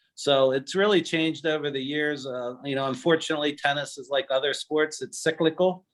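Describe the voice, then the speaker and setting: A man with a plain, everyday voice, pitched fairly high. He speaks at a moderate pace with fairly even intonation. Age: 60s. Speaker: attorney and tennis player. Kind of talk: interview reminiscence.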